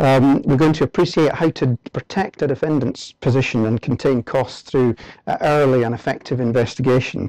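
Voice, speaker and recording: With a dark, mellow tone, a man talks at a fairly quick pace, the sound dry with no echo and the background quiet. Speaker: presenter. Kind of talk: lecture. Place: hall.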